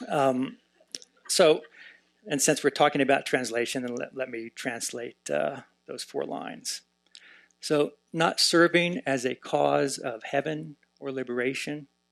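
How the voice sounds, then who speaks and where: A man with an American accent and fairly high pitch speaks at a fairly slow pace with ordinary pitch variation and long, frequent pauses. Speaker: professor of Tibetan Buddhism, translator. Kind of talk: conference panel talk. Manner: many filler words (uh, um).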